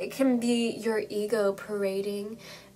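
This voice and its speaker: The tone is soothing, the intonation monotone and flat. Noticeable background noise and audible room echo fill the recording. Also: woman. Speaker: tarot card reader. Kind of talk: tarot reading video. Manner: soothing guided intro.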